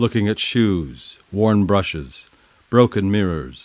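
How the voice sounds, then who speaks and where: A man's voice sits fairly low in pitch and moves with ordinary variation. It is an ordinary speaking voice, recorded with a dry, close sound and no echo. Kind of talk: poetry reading.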